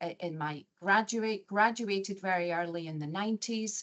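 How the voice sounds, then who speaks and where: A woman speaks with a Scottish accent and ordinary pitch variation. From Scotland, Glasgow area. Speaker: chief nurse executive. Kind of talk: interview.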